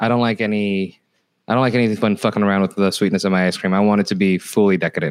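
A man with an American accent talks at a very fast pace. His pitch is fairly low and his intonation fairly even. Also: very even loudness. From California. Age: 40s. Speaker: comedian. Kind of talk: casual chat. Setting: at home, remote call.

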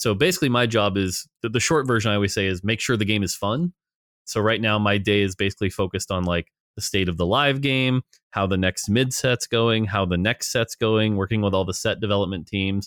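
Fairly quick pace and ordinary pitch variation from an unremarkable speaking voice. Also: man, fairly low pitch for a man. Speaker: game designer. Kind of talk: interview, casual conversation. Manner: casual, fluent.

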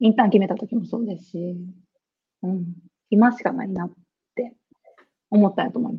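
A somewhat breathy woman speaks at a fairly quick pace, with big swings in loudness and long, frequent pauses. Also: medium pitch for a woman, fairly even intonation. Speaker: geisha. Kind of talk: casual interview.

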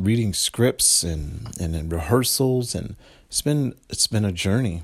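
At a fairly slow pace, a man with a normal speaking voice talks at fairly low pitch with ordinary pitch variation. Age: 40s. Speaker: podcast host and entertainer. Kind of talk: motivational monologue.

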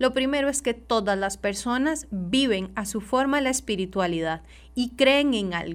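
Lively intonation carries the speech at a fairly slow pace on a very clean recording with a silent background. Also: woman, fairly high pitch for a woman. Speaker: social worker. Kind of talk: radio interview. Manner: halting.

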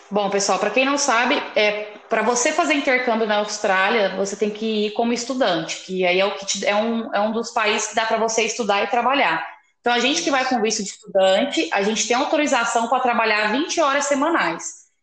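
With audible room echo, a woman talks at a fairly quick pace with hardly any pauses, her pitch fairly high with ordinary variation. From interior of São Paulo, Brazil. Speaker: podcast host, journalist. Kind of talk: casual interview chat.

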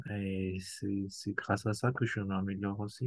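A man speaks at a fairly slow pace. His voice is fairly low and somewhat breathy. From Madagascar. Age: 40s. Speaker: amateur cellist. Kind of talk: casual interview.

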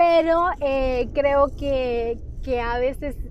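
A woman speaks in a high-pitched voice, with audible echo from the room. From Honduras. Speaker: physician and nutrition consultant. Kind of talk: solo podcast monologue. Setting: recorded on a mobile phone. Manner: halting, many fillers and repetitions. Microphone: phone mic.

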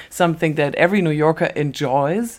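Speaking with a German accent, a woman uses a very deep, low pitch with ordinary pitch variation at a moderate pace. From Germany. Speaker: podcast co-host. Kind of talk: scripted narration.

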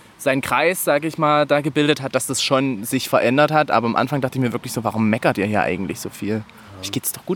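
A man's very fast delivery with hardly any pauses, over noticeable background noise. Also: medium pitch for a man, ordinary pitch variation. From Saxony, village near Bautzen. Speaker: podcast guest, podcaster. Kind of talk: casual chat.

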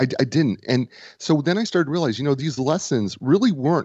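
Using a normal speaking voice, a man with an American accent talks at a fairly quick pace with lively intonation. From Nebraska. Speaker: author and business coach. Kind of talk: casual interview.

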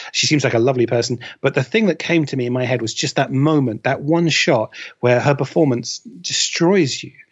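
With ordinary pitch variation and a fairly quick pace, this is an ordinary speaking voice. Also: man, medium pitch for a man. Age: 30s. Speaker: film data researcher. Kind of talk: casual chat.

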